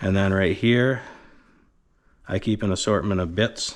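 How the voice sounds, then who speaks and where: A man speaks at a fairly low pitch. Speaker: vinyl siding installer. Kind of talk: tool review tutorial. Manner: casual.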